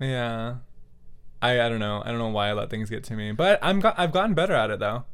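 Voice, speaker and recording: Very fast male speech at medium pitch, lively in intonation, with audible room echo. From California Central Valley. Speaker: podcast co-host. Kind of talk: casual chat.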